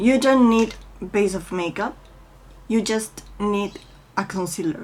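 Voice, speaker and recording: A woman speaks in a Spanish accent at a very slow pace with ordinary pitch variation. Noticeable background noise can be heard. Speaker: beauty vlogger. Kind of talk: makeup tutorial. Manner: halting, with many fillers.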